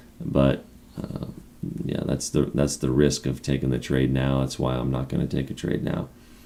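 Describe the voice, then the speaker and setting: Over noticeable background noise, a man speaks in a very deep, low pitch with monotone, flat intonation. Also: moderate pace. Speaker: stock trading streamer. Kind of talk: live stream commentary. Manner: casual, thinking aloud.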